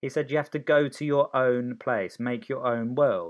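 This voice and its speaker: A man speaks with a southern English accent. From Oxfordshire, England (born in Sicily). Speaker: guest parent. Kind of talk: casual chat.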